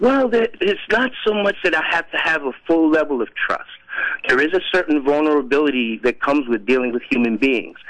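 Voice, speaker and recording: A man talks at a fairly quick pace with very wide pitch swings over noticeable background noise. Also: fairly high pitch for a man. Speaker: caller. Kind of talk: phone-in conversation. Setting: phone call. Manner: hesitant, filler-heavy.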